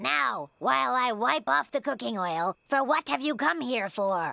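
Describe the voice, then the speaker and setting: In a cartoonish character voice that sounds female, with a medium pitch for a woman and very wide pitch swings, the speaker talks at a moderate pace on a very clean recording with a silent background. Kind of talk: comic overacting. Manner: bright, chipper, eager.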